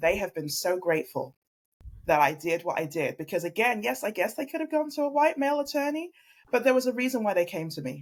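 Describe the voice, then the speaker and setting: Pitch swings very widely in this voice, delivered at a fairly quick pace. It carries a slight English accent. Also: woman. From London, England. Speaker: family law attorney. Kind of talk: interview podcast conversation. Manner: earnest, reflective.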